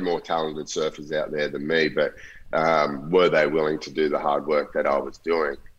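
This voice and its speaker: The pace is moderate. A man talks in an Australian accent. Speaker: professional surfer. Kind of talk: casual chat.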